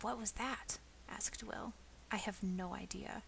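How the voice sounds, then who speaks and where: A soft-spoken woman talks at a moderate pace. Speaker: ASMR storyteller. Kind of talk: reading aloud.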